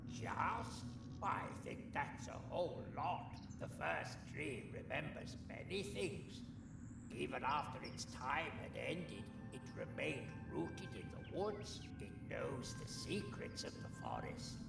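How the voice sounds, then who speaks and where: Amid loud background noise and a slight echo, a man does a put-on character voice at medium pitch and a fairly slow pace. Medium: machinima. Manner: chatty, wry.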